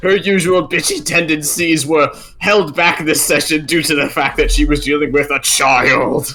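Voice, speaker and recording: A man's put-on character voice, fairly high-pitched, at a moderate pace with hardly any pauses, over light background noise. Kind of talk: actual play stream banter. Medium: actual play.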